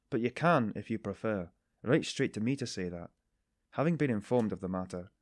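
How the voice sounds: In a natural reading voice with lively intonation, the speaker reads over a quiet background.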